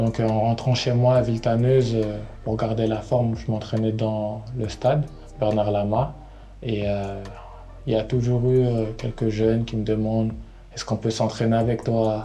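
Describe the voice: A man speaks with a fairly low pitch and little pitch movement. His tone is dark and mellow. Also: moderate pace.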